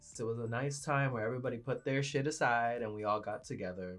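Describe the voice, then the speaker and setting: A man at medium pitch, fairly quick in pace, with music in the background. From Venezuela. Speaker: beauty vlogger. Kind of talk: makeup tutorial with personal chat. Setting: home studio. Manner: animated.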